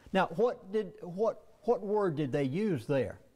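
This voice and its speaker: A man's dark, mellow voice in an American accent, at a fairly slow pace, with very wide pitch swings. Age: 70s. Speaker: conspiracy lecturer, former pastor. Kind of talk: lecture. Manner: animated.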